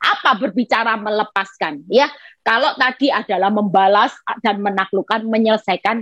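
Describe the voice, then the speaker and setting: Ordinary pitch variation and a moderate pace come through a dry, close sound with no echo. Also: woman. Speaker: evangelist preacher. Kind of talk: sermon. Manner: animated.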